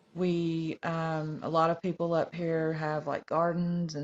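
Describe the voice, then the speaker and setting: A woman with a North Georgia accent talks very slowly in a fairly low pitch. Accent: Southern, north Georgia mountain. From US South, north Georgia. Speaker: TikTok live guest. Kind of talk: casual chat. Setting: livestream. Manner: hesitant, many ums.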